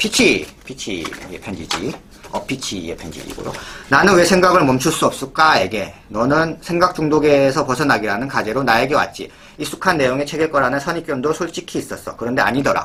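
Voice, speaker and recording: Through noticeable background noise, a man speaks at a fairly high pitch with lively intonation. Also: fairly quick pace. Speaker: bookstore presenter reading editors' letters. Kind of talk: reading aloud letters; casual presentation. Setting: recorded on camera, indoor setup.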